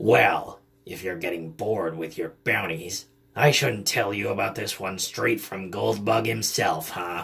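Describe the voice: A man puts on a character voice, raspy and fairly low in pitch. He speaks at a fairly slow pace.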